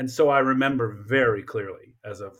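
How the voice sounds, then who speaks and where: A somewhat breathy man with an American accent is heard in a very clean recording with a silent background. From Colorado Springs, US (military family, partly Japan). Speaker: history professor. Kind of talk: interview.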